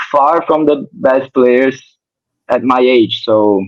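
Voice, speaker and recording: The speaker has a Portuguese accent and ordinary pitch variation. The pace is fairly slow. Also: man. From Brazil. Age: 20s. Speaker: professional tennis player. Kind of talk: interview. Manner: halting.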